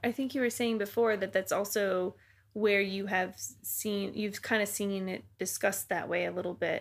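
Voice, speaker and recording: A woman with an American accent talks at a moderate pace in a medium pitch, her intonation fairly even. It is an unremarkable speaking voice, recorded very cleanly against a silent background. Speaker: podcast host.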